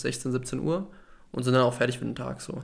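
A man speaks at a fairly quick pace in an ordinary speaking voice, his pitch medium. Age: 20s. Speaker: law student and podcast co-host. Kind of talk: casual chat.

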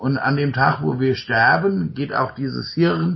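Here a man speaks at a fairly slow pace, with medium pitch. He has a plain, everyday voice. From Germany, Rhine-Main area near Mainz. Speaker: podcast host and coach. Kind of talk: conversational interview. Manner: frequent fillers and tag ja.

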